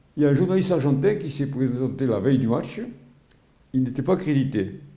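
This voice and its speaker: A man with a medium pitch and a dark, mellow tone is heard with audible room echo. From Algeria (Oran), pied-noir. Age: 80s+. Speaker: retired sports journalist and volunteer. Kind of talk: interview testimony. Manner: halting, many repetitions and hesitations.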